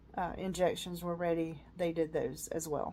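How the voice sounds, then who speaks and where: A woman's dark, mellow voice in a Southern US accent, with a fairly slow pace and monotone, flat intonation. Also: very clean recording, silent background. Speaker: vlogger. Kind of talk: casual personal vlog. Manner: hesitant, many fillers.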